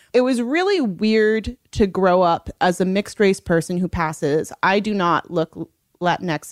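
With an American accent, a woman speaks fairly slowly in a plain, everyday voice, with ordinary pitch variation and a dry, close sound with no echo. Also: medium pitch for a woman. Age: 30s. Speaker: novelist. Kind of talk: interview.

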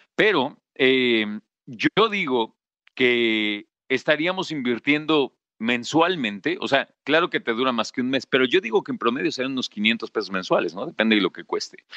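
The man has a bright, sharp tone, lively intonation and a medium pitch. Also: moderate pace. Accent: Mexican. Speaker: podcast host. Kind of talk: casual monologue.

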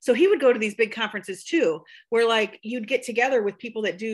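A woman with a US Midwestern accent talks very fast at a fairly high pitch on a very clean recording with a silent background. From rural Iowa, Buchanan County. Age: 40s. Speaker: beauty artist and conference organizer. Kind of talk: casual interview chat.

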